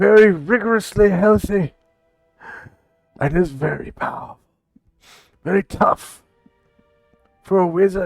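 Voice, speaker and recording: A man uses a put-on character voice at a high pitch and moderate pace, with long, frequent pauses. Faint music plays in the background. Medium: actual play. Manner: earnest, slightly formal.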